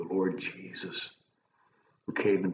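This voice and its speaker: A man talks in a room with audible echo and a little background noise. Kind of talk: sermon / devotional message. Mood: warm, earnest. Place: home room. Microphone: webcam.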